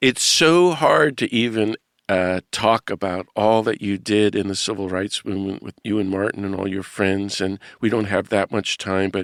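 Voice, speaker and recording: Recorded very cleanly against a silent background, with a dry, close sound and no echo, a man uses a normal speaking voice at fairly low pitch, moving at a moderate pace with ordinary pitch variation and hardly any pauses. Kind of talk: podcast interview questions.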